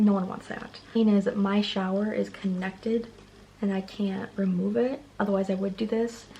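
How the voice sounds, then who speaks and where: Monotone, flat intonation from a woman at a medium pitch, over noticeable background noise. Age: 20s. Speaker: beauty vlogger. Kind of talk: tutorial. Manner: fast; casual, filler-heavy.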